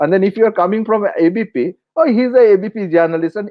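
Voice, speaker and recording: A man with a Bengali accent at a fairly quick pace. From India, West Bengal. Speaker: journalist, editorial consultant. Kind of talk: interview conversation. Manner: halting, many fillers and restarts.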